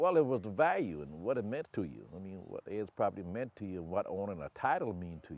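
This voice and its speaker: A man with a fairly low pitch, vocal fry and very wide pitch swings, at a fairly quick pace, in a very clean recording with a silent background. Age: 60s. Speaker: landowner. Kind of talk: interview.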